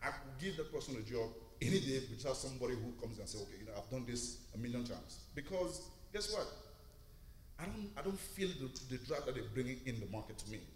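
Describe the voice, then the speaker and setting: A man speaks at a very fast pace with lively intonation and a medium pitch. Noticeable background noise runs behind him. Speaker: recruitment lead, audience member. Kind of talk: audience comment. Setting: church.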